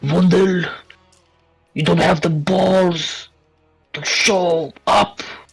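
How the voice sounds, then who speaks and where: A booming, put-on character voice carries the clip. Faint music plays in the background. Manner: disgusted, demanding.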